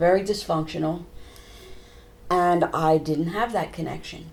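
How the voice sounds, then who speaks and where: Through audible room echo and noticeable background noise, a woman talks at a moderate pace. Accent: American. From United States. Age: 70s. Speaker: trauma therapist. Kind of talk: interview.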